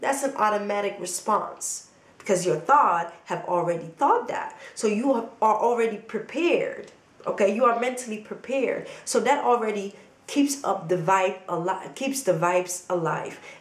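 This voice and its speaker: Lively intonation from a woman with a fairly high pitch, at a moderate pace, amid audible room echo and noticeable background noise. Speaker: motivational vlogger. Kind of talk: motivational talk to camera. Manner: animated.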